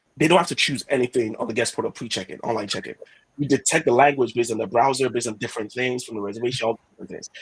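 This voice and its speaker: A man's medium-pitched voice with a Yoruba accent, very fast and animated, with big swings in loudness, ordinary pitch variation, and a dry, close sound with no echo. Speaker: head of product. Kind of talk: product webinar discussion.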